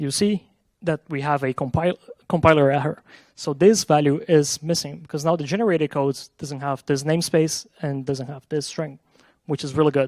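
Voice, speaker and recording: In a Portuguese accent, a man with a fairly high pitch talks with fairly even intonation, the sound dry and close with no echo. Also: moderate pace. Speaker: software engineer. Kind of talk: conference talk with live coding demo.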